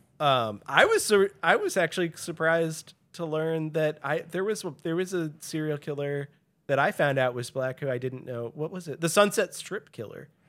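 In a normal speaking voice, a man with an American accent talks at a moderate pace and a fairly high pitch with ordinary pitch variation, in a very clean recording with a silent background. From US Midwest, St. Louis. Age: 30s. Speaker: podcast guest. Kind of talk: casual chat.

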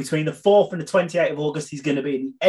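This is an unremarkable speaking voice. The intonation is fairly even. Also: man. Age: 30s. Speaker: podcast co-host. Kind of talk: casual chat; announcement of tour dates.

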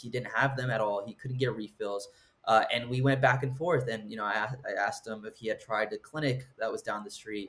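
At a moderate pace, an ordinary speaking voice carries on. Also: man. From Southern California. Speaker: medical student. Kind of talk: interview.

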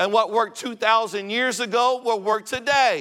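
A man projects his voice in a raised, high pitch. The tone is bright and sharp. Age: 50s. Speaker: visiting preacher. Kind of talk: revivalist Pentecostal sermon, rising to a climax with amen call-and-response. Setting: church pulpit with congregation. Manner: stammering restarts, repeating words before pressing on.

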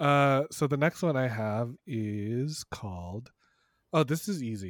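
Recorded very cleanly with a silent background and a dry, close sound free of echo, a man of medium pitch uses a plain, everyday voice with lively intonation. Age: 30s. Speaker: sex educator podcaster. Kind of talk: casual chat.

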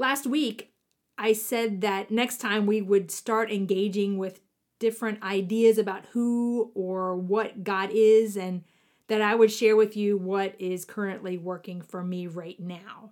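In a very clean recording with a silent background, a woman with an American accent and an unremarkable speaking voice talks at a fairly slow pace in a medium pitch, with fairly even intonation and big swings in loudness. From US South, southwestern Virginia (Appalachia). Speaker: podcast host, spiritual teacher. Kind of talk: reflective spiritual monologue.

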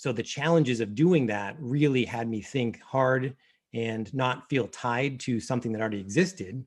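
A man with a plain, everyday voice, medium pitch and ordinary pitch variation, at a moderate pace over a quiet background. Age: 40s. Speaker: financial planner, firm founder. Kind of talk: interview.

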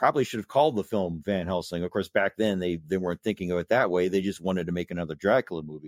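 The recording of this man is very clean, with a silent background and a dry, close sound that has no echo. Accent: Midwestern American. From US Midwest, Indiana (South Bend). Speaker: blogger and horror film fan. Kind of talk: casual interview chat. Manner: halting, frequent repetitions.

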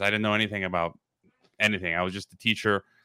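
A man with an American accent. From US Midwest, Illinois. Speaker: podcast and radio host, former professor. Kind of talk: casual interview chat. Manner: halting, many repeated words.

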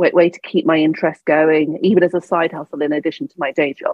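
This woman speaks in a southern English accent with a fairly low pitch. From England, Devon. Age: 40s. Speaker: business coach. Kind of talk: interview.

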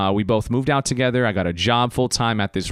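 A man speaks with an American accent in a bright, sharp tone. The sound is dry and close, with no echo. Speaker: podcast host. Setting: podcast recording. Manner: talkative, casual and conversational.

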